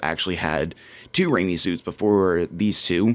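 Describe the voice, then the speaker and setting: A man speaks quietly at a moderate pace in a very deep, low pitch. The recording is very clean, with a silent background. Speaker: cosplay youtuber. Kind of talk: casual product review. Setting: at home.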